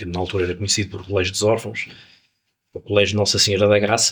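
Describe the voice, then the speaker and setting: A fairly low-pitched male voice with monotone, flat intonation. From Porto, northern Portugal (born in Angola). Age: 60s. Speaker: musician. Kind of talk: interview. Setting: jazz club.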